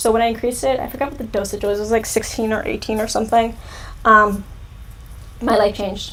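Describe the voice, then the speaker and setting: Noticeable background noise accompanies a woman with an American accent who speaks at a very fast pace, her fairly high pitch delivered in a flat monotone. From California. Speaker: youtuber. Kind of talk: live stream Q&A chat. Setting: live stream. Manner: casual, filler-heavy.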